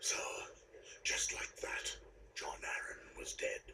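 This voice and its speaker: Whispering at a fairly slow pace, a man uses a put-on character voice. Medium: video game. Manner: gruff, terse.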